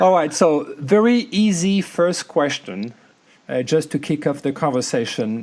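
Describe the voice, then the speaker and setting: A man talks with lively intonation and a slight French accent. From France. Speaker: podcast host. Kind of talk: podcast interview.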